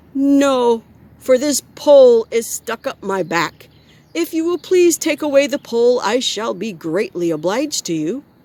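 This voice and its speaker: In a put-on character voice, a woman speaks at a moderate pace with a husky, high pitch and very wide pitch swings, with a dry, close sound and no echo. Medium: read story. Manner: polite.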